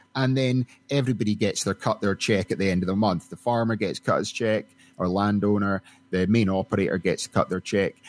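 In a Scottish accent, a man with a fairly low pitch speaks at a fairly quick pace with fairly even intonation and very even loudness, recorded very cleanly against a silent background with a dry, close sound and no echo. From Scotland. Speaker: oil and gas company executive. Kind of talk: interview.

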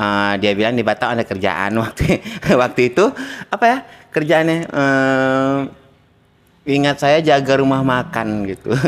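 A man's medium-pitched voice, lively in intonation, at a fairly slow pace with long, frequent pauses. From North Sumatra, Langkat (Medan area); North Sumatra. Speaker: salon owner, migrant entrepreneur; interview guest. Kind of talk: interview testimony. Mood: cheerful, laughing. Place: shop. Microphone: handheld.

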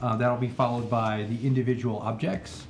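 A man talks at a moderate pace while light background noise runs underneath. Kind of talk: formal meeting presentation. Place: hall. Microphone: podium.

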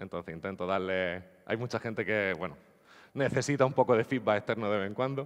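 Over a quiet background, a man with a fairly low voice speaks at a very fast pace with ordinary pitch variation. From Andalusia, Spain (Nerja, Málaga); Andalusia. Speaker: geospatial software developer; conference speaker. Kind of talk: conference talk. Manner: hesitant, repeats words. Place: hall.

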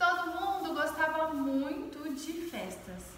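Audible room echo surrounds a woman who speaks very slowly in a high voice. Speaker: teacher storyteller. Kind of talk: storytelling to children. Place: classroom. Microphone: camera far.

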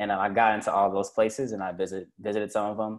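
A man with an American accent, fairly low in pitch, very fast and monotone with flat intonation, on a very clean recording with a silent background. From Cincinnati, Ohio. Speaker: graduate student. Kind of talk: casual panel talk.

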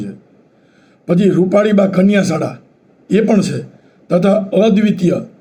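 A dark, mellow tone with ordinary pitch variation. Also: man. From Saurashtra, Gujarat (Porbandar). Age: 70s. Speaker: retired engineer and YouTuber. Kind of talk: local history talk. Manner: halting.

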